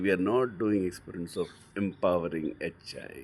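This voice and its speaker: Noticeable background noise sits behind a man speaking in an Indian accent. His intonation is lively. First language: Hindi. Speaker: book reader and teacher. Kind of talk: reading aloud with commentary. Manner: animated; halting.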